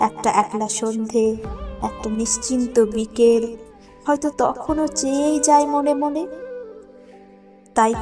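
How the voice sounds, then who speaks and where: Over music in the background, a woman talks at a fairly high pitch with ordinary pitch variation. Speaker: poetry reciter. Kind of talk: poetry reading.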